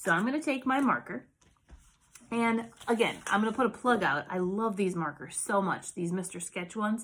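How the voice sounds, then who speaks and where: At a moderate pace with long, frequent pauses, a woman speaks in a fairly high voice with an animated tone and lively intonation. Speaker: art teacher. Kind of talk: tutorial. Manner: casual, animated.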